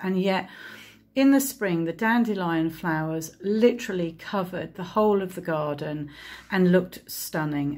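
A woman's voice, fairly low in pitch, moves with ordinary pitch variation. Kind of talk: casual vlog chat. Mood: chatty, mildly frustrated. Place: kitchen. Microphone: phone near.

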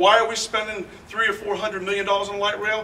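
A man speaks in a raised, projected voice. His pitch is high, with light background noise behind him. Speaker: mayoral candidate; candidate. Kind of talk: candidate forum speech. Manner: loud. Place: hall. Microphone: speaking without a microphone; camera far.

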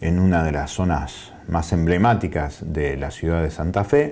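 This man's tone is dark and mellow, and he speaks at a fairly slow pace. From Argentina. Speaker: provincial legislator and journalist; journalist. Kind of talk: interview. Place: studio. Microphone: lapel.

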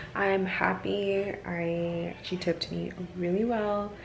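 A woman's monotone, flat intonation over noticeable background noise. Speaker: vlogger and waxing business owner; vlogger. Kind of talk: casual vlog. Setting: in a car. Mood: happy, relaxed. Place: kitchen. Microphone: phone near.

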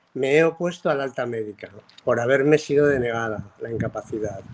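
A man uses an ordinary speaking voice, keeping a moderate pace and ordinary pitch variation. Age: 60s. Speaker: viewer sending a video question. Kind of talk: recorded video question. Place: home room. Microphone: phone near.

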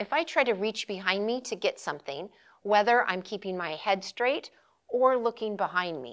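A woman at a moderate pace with very wide pitch swings, against a quiet background. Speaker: posture instructor. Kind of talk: tutorial. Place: studio. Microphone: lapel.

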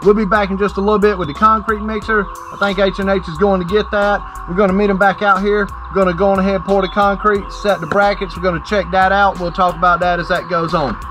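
A man at a very fast pace and high pitch, monotone and flat, with music in the background. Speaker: presenter. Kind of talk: tutorial. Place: open country. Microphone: camera far.

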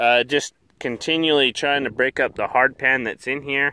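A man talks at a moderate pace with fairly even intonation, his voice dry with no echo over light background noise. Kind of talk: casual vlog commentary. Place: open country. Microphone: phone near.

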